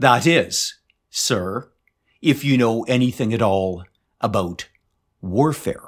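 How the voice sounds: A natural reading voice comes through against a quiet background.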